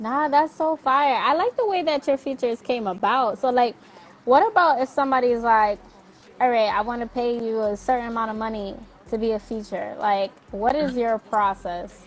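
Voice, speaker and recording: A woman with a New York accent speaks at a high pitch and a moderate pace. Her pitch varies in an ordinary way, over noticeable background noise. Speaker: interview show host. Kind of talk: casual interview chat.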